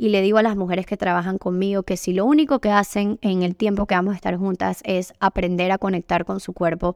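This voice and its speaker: A woman's medium-pitched voice at a moderate pace, with fairly even intonation, a dry, close sound with no echo, and a very clean recording over a silent background. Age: 30s. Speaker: yoga teacher and women's retreat facilitator. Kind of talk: solo podcast monologue. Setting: home by the beach.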